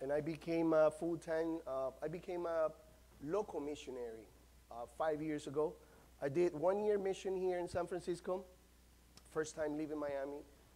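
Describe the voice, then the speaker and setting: A man with a Central American Spanish accent speaks at a fairly high pitch with a dark, mellow tone. His pace is moderate and his pitch varies in an ordinary way. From Nicaragua. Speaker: pastor. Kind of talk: sermon. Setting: church. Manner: passionate. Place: church. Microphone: lapel.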